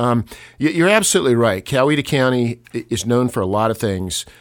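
On a very clean recording with a silent background, a man with a Southern US accent speaks at a medium pitch and moderate pace with lively intonation. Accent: Southern US (Georgia). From Georgia, US South. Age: 60s. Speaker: local author. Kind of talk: casual chat.

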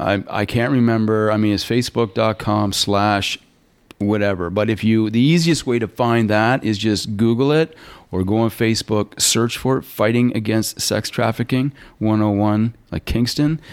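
Speaking at a moderate pace with ordinary pitch variation, this is a normal speaking voice with a Canadian accent. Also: man, medium pitch for a man, very even loudness. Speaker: student counselor and musician. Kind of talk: interview.

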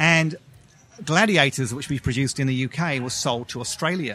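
A man with an American accent at medium pitch, at a fairly quick pace, with ordinary pitch variation. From England. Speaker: television executive producer. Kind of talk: casual interview.

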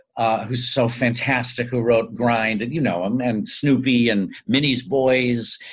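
Hardly pausing, a man with an American accent speaks in an unremarkable speaking voice at a medium pitch, with fairly even intonation and a fairly slow pace. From US Midwest, Chicago then Tulsa, Oklahoma. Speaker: stage and screen actor, singer. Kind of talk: interview.

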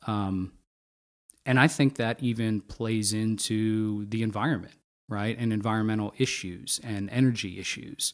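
In an American accent, a man with an ordinary speaking voice talks at a moderate pace, fairly low in pitch, with fairly even intonation. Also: very clean recording, silent background. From Pennsylvania. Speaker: podcast host. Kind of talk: interview conversation.

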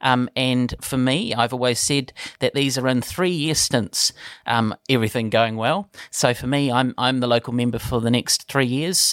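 A man with a New Zealand accent speaks at a medium pitch and a moderate pace with fairly even intonation, in a dry, close sound with no echo on a very clean recording with a silent background. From New Zealand, Palmerston North. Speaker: politician. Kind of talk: interview. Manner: hesitant, many fillers.

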